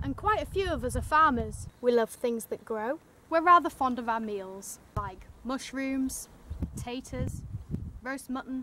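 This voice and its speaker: In a Yorkshire accent, the raised, projected voice moves at a fairly slow pace with lively intonation and big swings in loudness. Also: woman. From Yorkshire, northern England. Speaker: fan making a contest entry video. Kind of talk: scripted narration.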